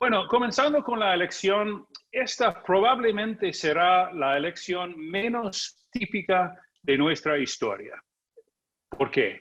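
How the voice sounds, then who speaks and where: Speaking very slowly, a man with a high voice uses lively intonation. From United States. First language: English (speaking Spanish). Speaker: journalist and political analyst. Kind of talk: conference talk.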